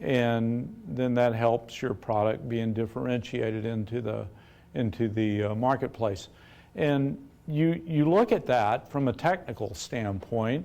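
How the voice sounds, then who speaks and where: On a very clean recording with a silent background, a man with a normal speaking voice talks at a fairly slow pace and medium pitch with lively intonation. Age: 60s. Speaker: business owner and chemist. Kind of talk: talk to university audience with Q&A.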